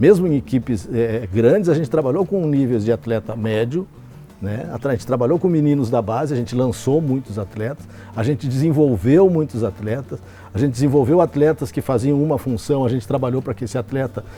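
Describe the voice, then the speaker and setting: A man's medium-pitched voice at a moderate pace with lively intonation, over music in the background. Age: 60s. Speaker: football coach. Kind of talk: interview. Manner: halting, frequent fillers and repetitions.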